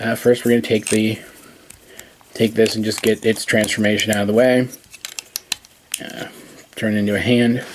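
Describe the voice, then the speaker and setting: Noticeable background noise sits behind a man speaking at a moderate pace with a medium pitch. His intonation is monotone and flat, broken by long, frequent pauses. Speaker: toy reviewer. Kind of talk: tutorial. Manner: halting.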